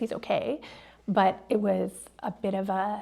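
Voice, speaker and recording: A woman, medium in pitch, with an ordinary speaking voice, ordinary pitch variation and a very clean recording with a silent background. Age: 50s. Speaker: artist and educator. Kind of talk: casual chat.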